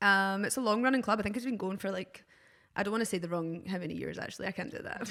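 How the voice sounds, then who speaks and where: Speaking with a Glaswegian accent, a woman holds a medium pitch and fairly even intonation in a very clean recording with a silent background. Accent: Glaswegian Scottish. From Scotland, Glasgow. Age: 30s. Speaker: DJ and visual artist. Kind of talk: casual podcast chat. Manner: hesitant, many fillers.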